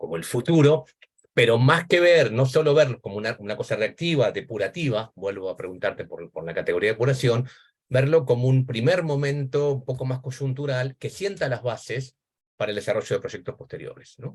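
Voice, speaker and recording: A man's somewhat breathy voice at a fairly quick pace, with lively intonation and big swings in loudness. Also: medium pitch for a man. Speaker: academic discussant, education historian. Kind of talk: academic seminar commentary. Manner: fast.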